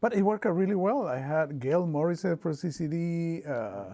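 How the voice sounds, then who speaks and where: The tone is dark and mellow, with an Argentine accent. The background is quiet. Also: man. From Argentina, small town. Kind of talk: oral history interview. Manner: halting, repeats words.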